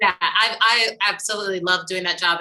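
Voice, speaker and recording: A woman with an unremarkable speaking voice talks in an American accent. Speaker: musical theatre actor and singer. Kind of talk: casual chat.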